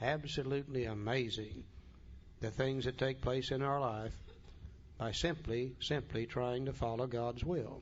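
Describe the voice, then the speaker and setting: A man with a medium pitch speaks at a fairly slow pace, his loudness very even. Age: 60s. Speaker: recovery workshop speaker. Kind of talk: talk to a recovery group. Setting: room with audience. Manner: animated.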